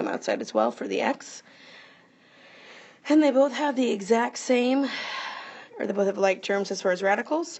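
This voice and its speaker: A woman's pitch swings very widely. Vocal fry runs through her voice. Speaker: math teacher. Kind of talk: tutorial. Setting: recorded video lesson. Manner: fast.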